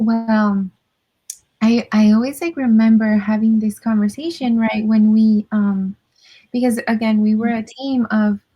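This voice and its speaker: A woman with a Spanish accent speaks at a fairly slow pace, her fairly high, somewhat breathy voice carrying a dark, mellow tone and fairly even intonation, in a dry, close recording with no echo. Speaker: mental health counselor. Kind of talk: casual interview.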